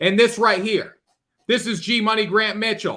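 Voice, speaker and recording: A man's raised, projected voice at a moderate pace, on a very clean recording with a silent background. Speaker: sports betting podcast host. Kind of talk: casual chat. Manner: animated; slurring words.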